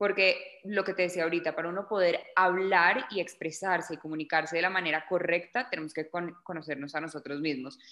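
With a normal speaking voice, a woman talks at a fairly quick pace and fairly low pitch, using ordinary pitch variation and hardly any pauses. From Colombia, Bogotá. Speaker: journalist and actress. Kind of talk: interview.

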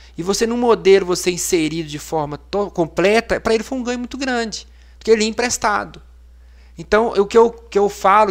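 Very fast and with lively intonation, a man speaks on a very clean recording with a silent background. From Minas Gerais, Brazil (Amparo do Serra). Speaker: physician, ICU coordinator. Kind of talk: casual interview. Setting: studio, live podcast.

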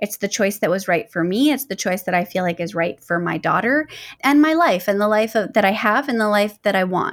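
A woman speaks in a plain, everyday voice at a medium pitch with ordinary pitch variation. The recording is very clean, with a silent background. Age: 30s. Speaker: life advice podcaster. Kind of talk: solo podcast monologue.

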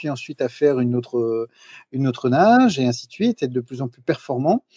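Pitch varies in an ordinary way as a man keeps a moderate pace. There's no echo, and the sound stays dry and close. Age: 40s. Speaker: entrepreneur, podcaster. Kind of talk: casual interview. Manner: halting, many fillers and repetitions.

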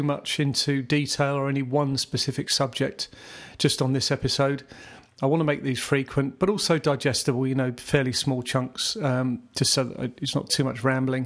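A man with a southern English accent talks at a moderate pace in a fairly high voice against a quiet background. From southeast England (Surrey). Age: 50s. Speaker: podcast host, aspiring photographer. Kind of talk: casual solo monologue. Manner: informal, halting with fillers.

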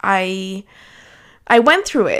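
A woman talks at a moderate pace. The recording is very clean, with a silent background. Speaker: solo podcast host. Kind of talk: casual monologue.

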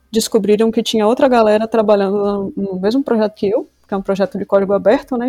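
A woman at a fairly quick pace with fairly even intonation, music in the background. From Brazil, Rio Grande do Sul and Salvador, Bahia. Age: 30s. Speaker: software developer intern. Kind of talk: casual podcast interview.

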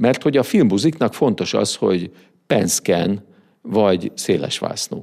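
In a very clean recording with a silent background, a man with an ordinary speaking voice talks at a moderate pace, his fairly low pitch carried by lively intonation. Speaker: business consultant. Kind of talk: interview. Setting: studio.

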